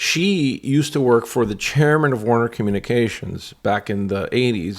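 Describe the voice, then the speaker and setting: With an American accent, this man talks at a moderate pace and medium pitch, using ordinary pitch variation on a very clean recording with a silent background. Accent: Cuban-tinged American. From New York. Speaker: broadcast television veteran. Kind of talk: casual chat. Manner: halting.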